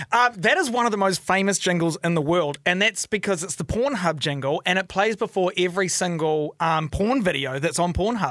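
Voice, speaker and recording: Talking at a fairly quick pace with hardly any pauses, a man with a New Zealand accent has a high pitch and ordinary pitch variation. The sound is dry and close, with no echo. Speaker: podcast host. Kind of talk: casual chat. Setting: studio. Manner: flustered, chatty.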